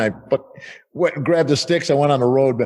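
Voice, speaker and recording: In an American accent, a man speaks with ordinary pitch variation. Noticeable background noise accompanies him. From United States. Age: 60s. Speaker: rock drummer. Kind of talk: casual interview.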